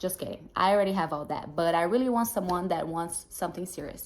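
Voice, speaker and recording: A woman with a Brazilian Portuguese accent, fairly low in pitch and lively in intonation. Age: 20s. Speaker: dating show contestant. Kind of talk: prepared self-introduction.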